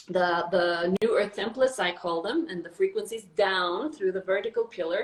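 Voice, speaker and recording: A woman with an unremarkable speaking voice talks at a medium pitch. Her pace is fairly slow and her pitch varies in an ordinary way. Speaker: spiritual channeler. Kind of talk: casual conversation. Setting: live video stream.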